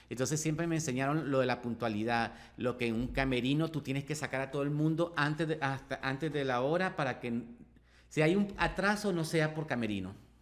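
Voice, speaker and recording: A man with a normal speaking voice talks at a fairly quick pace, his fairly high pitch varying in an ordinary way. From Nicaragua, Managua; Nicaragua. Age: 30s. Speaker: makeup artist; podcast guest. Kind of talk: casual interview chat. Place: studio. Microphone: studio mic.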